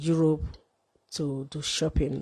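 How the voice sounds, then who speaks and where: Against a quiet background, a woman with a very deep, low pitch talks in a flat monotone, her tone dark and mellow and the sound dry and close with no echo. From Nigeria. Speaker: live streamer. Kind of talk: livestream monologue.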